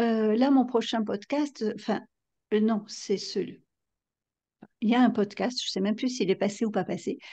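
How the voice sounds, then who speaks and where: Dark, mellow and somewhat breathy speech at a moderate pace, with fairly even intonation and long, frequent pauses over a quiet background. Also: woman, fairly high pitch for a woman. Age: 50s. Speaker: novelist and psychotherapist. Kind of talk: interview.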